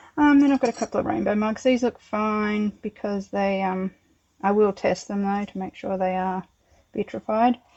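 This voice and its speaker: Recorded dry and close with no echo against a quiet background, a woman speaks at a moderate pace and medium pitch with fairly even intonation. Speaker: home potter. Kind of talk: casual tutorial-style kiln unloading.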